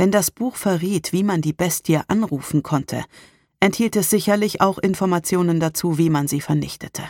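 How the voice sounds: Natural reading voice, its pitch varying in an ordinary way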